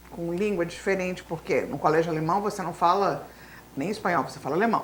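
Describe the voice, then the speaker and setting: This woman talks at a very fast pace. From grew up abroad in Latin America (Bolivia etc.), German school. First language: Spanish (speaking Portuguese). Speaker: teacher. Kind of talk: interview.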